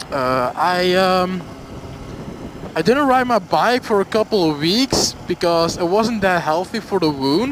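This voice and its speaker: With a Flemish Belgian accent, a high-pitched man talks at a fairly slow pace with lively intonation over noticeable background noise. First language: Dutch. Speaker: motorcycle vlogger. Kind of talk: casual storytime vlog. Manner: halting, many fillers.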